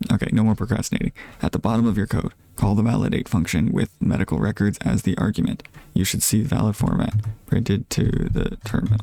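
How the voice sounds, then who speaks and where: A quiet man with a fairly low pitch, dark, mellow tone and vocal fry, very fast pace, ordinary pitch variation and very even loudness, in a dry, close sound with no echo. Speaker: streamer learning to code. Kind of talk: live coding stream, thinking aloud. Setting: live stream. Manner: quiet, low volume; halting, many fillers and restarts.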